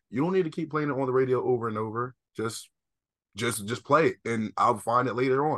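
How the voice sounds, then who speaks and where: A man with an American accent and a bright, sharp tone, at a fairly quick pace with ordinary pitch variation, against a quiet background. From US East Coast. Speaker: podcast co-host. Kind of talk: casual chat.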